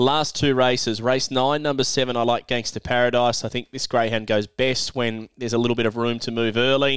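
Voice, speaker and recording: A man speaks with an Australian accent at a medium pitch, fairly quickly and with hardly any pauses. His intonation stays monotone and flat over a very clean recording with a silent background. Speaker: greyhound racing podcast host and tipster. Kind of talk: racing tips podcast.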